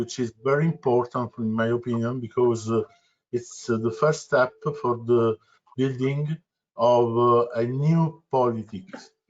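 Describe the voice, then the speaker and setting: Speaking in a non-native accent, a man at a medium pitch talks at a fairly slow pace with fairly even intonation. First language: Italian. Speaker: volunteer activist and web developer. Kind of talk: self-introduction in meeting. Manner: halting.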